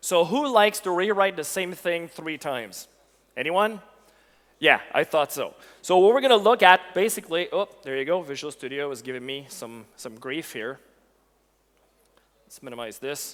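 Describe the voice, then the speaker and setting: A man with a high voice speaks at a moderate pace, his pitch swinging very widely between long, frequent pauses. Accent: Quebec. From Quebec. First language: French. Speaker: technical evangelist. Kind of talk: conference tech talk. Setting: stage with audience. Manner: animated.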